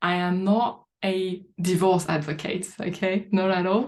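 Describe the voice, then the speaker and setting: A woman's medium-pitched voice with a French accent. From France. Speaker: life coach. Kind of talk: live online training talk. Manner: halting.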